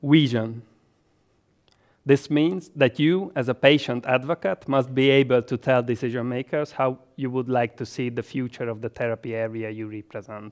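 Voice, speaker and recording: This man has a Hungarian accent, a medium pitch and ordinary pitch variation, speaking at a moderate pace. The recording is very clean with a silent background and a dry, close sound with no echo. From Hungary, Budapest. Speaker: health economist and medical doctor. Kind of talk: educational presentation. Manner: formal.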